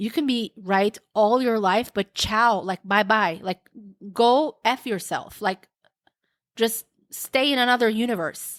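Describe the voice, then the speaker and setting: Speaking with a non-native accent, a woman uses a fairly high pitch and a fairly slow pace. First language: not English. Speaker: podcast host. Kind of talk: solo podcast monologue. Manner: casual, hesitant with repeated words.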